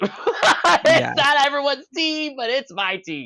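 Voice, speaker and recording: A woman puts on a cackling character voice, high-pitched and fairly slow. Her pitch swings very widely. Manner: cackling laughter.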